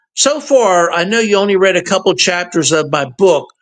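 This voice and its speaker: A man's high-pitched voice at a moderate pace. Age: 60s. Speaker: author, paranormal researcher. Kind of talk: casual interview chat.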